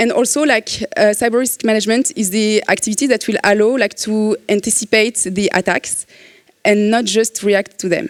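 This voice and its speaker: In a French accent, a woman talks at a moderate pace with a fairly high pitch and very even loudness, the sound dry and close with no echo. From France. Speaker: cybersecurity consultant. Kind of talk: conference talk. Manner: hesitant, many fillers.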